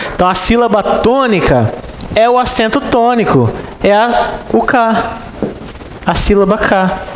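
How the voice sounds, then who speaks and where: A man with a Brazilian accent speaks at a very slow pace and high pitch, with fairly even intonation and long, frequent pauses. Audible room echo and noticeable background noise fill the recording. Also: very even loudness. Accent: countryside Brazilian. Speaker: exam-prep Portuguese teacher. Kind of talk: lecture.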